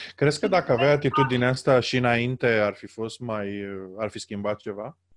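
A man with an unremarkable speaking voice talks at a moderate pace and medium pitch, with ordinary pitch variation and big swings in loudness. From Romania. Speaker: podcast host. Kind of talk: interview. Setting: internet call.

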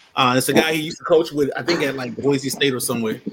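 This man talks at a very fast pace with a fairly high pitch. His pitch varies in an ordinary way. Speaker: panelist, sports analyst.

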